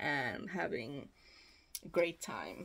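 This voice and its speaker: A woman is speaking. She has a Swedish accent. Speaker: knitting vlogger. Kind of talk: casual chat. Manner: mumbling, quiet at times; halting.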